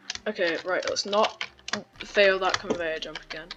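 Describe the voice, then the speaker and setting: The speech comes at a moderate pace with noticeable background noise. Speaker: gaming tutorial creator. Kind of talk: gameplay tutorial. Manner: casual, slightly halting.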